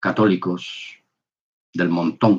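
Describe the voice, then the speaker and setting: A man's very deep, low voice, very slow in pace, with fairly even intonation. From Spain. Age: 60s. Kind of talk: testimony. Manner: halting, with fillers.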